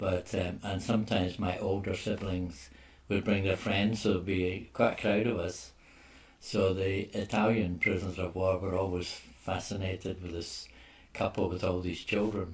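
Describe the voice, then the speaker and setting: Somewhat breathy and very deep, a man with a Glaswegian accent speaks at a moderate pace in a monotone, flat intonation. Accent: Glaswegian Scottish. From Scotland, Glasgow. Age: 80s+. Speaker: oral history interviewee. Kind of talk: oral history interview.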